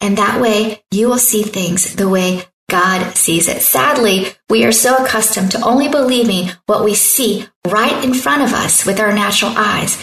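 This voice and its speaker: A woman talks at a moderate pace with hardly any pauses, her pitch fairly high. Her loudness stays very even, and her pitch varies in an ordinary way. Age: 50s. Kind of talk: sermon-style devotional talk.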